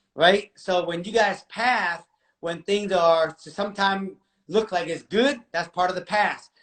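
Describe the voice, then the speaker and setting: A man with an American accent speaks. His pitch is high and his intonation fairly even. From Seattle, US (Vietnamese refugee from age five). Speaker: real estate investor. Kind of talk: casual interview.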